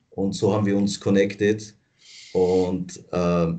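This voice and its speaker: The man speaks at a very slow pace. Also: quiet background. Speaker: protest co-organizer; interviewee. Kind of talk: interview. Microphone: video call.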